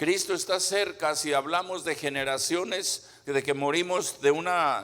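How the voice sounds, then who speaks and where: At a fairly slow pace, a man with a fairly high pitch speaks in a bright, sharp tone with ordinary pitch variation. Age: 70s. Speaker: pastor. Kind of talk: sermon. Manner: halting, paced for live interpreter.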